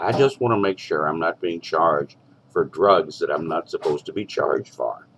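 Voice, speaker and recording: A man's moderately paced speech comes through noticeable background noise. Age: 60s. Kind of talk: phone call with billing office. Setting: phone call. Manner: halting.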